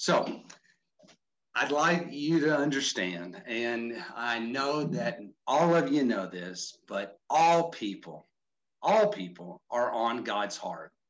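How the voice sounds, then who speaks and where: Speaking at a very slow pace with a Texan accent, a man at a medium pitch makes very wide pitch swings. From Texas, Houston area. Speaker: mission organization vice president, former pastor. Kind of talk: online training presentation. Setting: video call.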